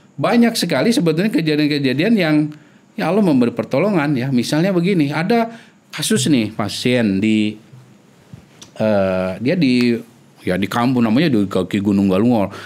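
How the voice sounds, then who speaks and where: A man talks at a moderate pace with a medium pitch and very even loudness. His pitch swings very widely. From Indonesia. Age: 40s. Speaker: epidemiologist; podcast guest. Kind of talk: interview; interview answer. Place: studio. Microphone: studio mic.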